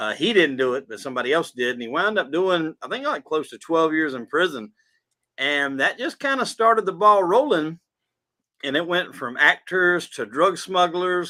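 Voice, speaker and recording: A man with a Southern US accent speaks with a high pitch. His voice shows very wide pitch swings and big swings in loudness. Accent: southern drawl. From South Carolina. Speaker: podcast host, guest. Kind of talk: casual interview chat.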